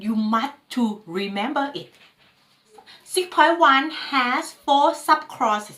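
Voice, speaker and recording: A woman speaks with a non-native accent at a very slow pace. Her voice is high-pitched, bright and sharp, with lively intonation. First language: not English. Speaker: ISO management trainer. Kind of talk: tutorial lecture.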